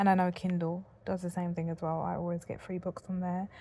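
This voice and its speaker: In a British accent, a woman with a dark, mellow tone and fairly low pitch speaks at a fairly quick pace. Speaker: content creator reviewing devices. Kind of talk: casual vlog talk. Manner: fed up, unenthusiastic.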